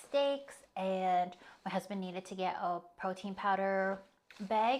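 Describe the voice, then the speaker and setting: A woman has an ordinary speaking voice at medium pitch. Her intonation is fairly even. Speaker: lifestyle vlogger. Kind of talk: casual vlog narration.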